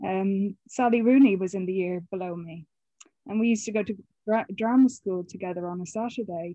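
Speaking fairly quickly, a woman uses an Irish accent and a medium pitch with ordinary variation. Her loudness swings widely. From Ireland, County Mayo. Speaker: film and TV production worker. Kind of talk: interview.

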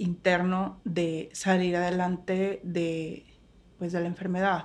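A woman's monotone, flat delivery on a very clean recording with a silent background. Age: 30s. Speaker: teacher and psychologist. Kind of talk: interview conversation. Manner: halting, many repetitions.

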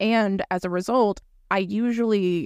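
Someone with an American accent talks in a dry, close sound with no echo. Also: woman, very clean recording, silent background. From Florida. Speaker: podcast host, former school teacher. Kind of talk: casual chat. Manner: animated.

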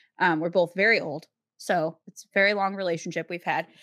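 A woman speaks with an American accent at medium pitch. Her intonation is monotone and flat. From US Midwest. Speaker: podcast host. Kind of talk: casual chat.

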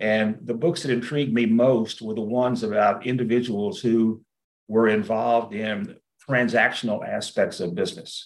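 The speaker has a Texan accent, a moderate pace and ordinary pitch variation. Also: man, medium pitch for a man. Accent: Texan Southern American. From US South, rural East Texas. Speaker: business executive, investor. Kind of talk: interview. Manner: halting, many repeated words.

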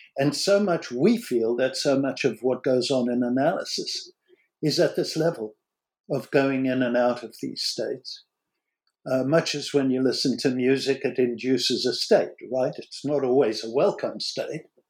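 A man with an American accent speaks at a moderate pace in a medium pitch, with ordinary pitch variation, on a very clean recording with a silent background. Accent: American, noticeable to British listeners. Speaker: psychoanalyst and author, former rock musician. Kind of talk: academic interview discussion.

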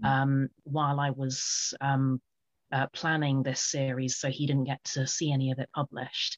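In a British accent, a woman with a very deep, low pitch speaks at a moderate pace in a monotone, flat way. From UK. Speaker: author and poet. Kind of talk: interview. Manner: halting, many fillers.

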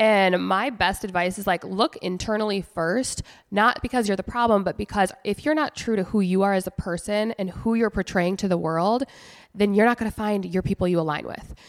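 In a normal speaking voice, a woman talks at a fairly quick pace and medium pitch with ordinary pitch variation, recorded dry and close with no echo, very clean, against a silent background. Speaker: podcast co-host. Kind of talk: casual chat. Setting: office.

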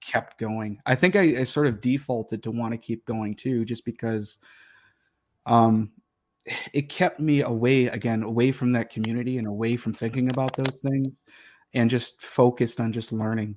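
A man at medium pitch and a moderate pace, fairly even in intonation, with an American accent. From US Midwest (Detroit, Michigan). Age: 30s. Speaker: linguistics scholar and heathen practitioner. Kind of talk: casual interview chat.

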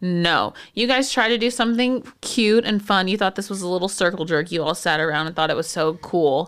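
Speaking fairly quickly with hardly any pauses, a woman with an American accent uses a medium pitch, an animated tone and lively intonation in a very clean recording with a silent background. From Texas, San Antonio. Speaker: podcast co-host, physical therapist. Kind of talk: casual chat.

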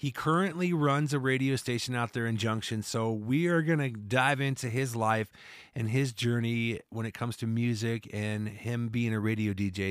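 A man with an American accent talks at a moderate pace in medium pitch, with ordinary pitch variation and hardly any pauses. It is a normal speaking voice on a very clean recording with a silent background. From Iowa, US Midwest. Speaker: podcast host and musician. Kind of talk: podcast outro announcement; casual interview chat.

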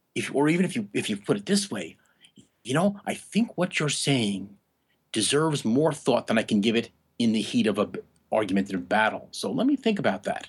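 A man with an American accent, fairly high in pitch, at a fairly quick pace with very wide pitch swings. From New York area. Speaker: philosophy professor. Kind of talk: interview.

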